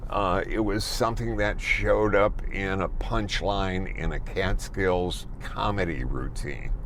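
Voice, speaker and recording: A man with an American accent speaks at a fairly slow pace with hardly any pauses, amid audible room echo and noticeable background noise. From US Midwest, Chicago. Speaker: car reviewer. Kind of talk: car review while driving.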